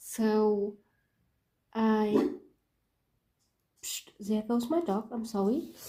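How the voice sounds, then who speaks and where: Very slowly, a woman with a non-native accent speaks in a fairly high pitch, her dark, mellow tone somewhat breathy. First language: not English. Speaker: planner hobby YouTuber. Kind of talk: casual show-and-tell video. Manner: hesitant, many fillers.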